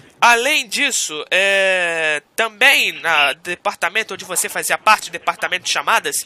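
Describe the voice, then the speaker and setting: This man's voice sits high in pitch, with lively intonation. He moves at a moderate pace, and the sound is dry and close with no echo. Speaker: radio host. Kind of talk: radio interview host.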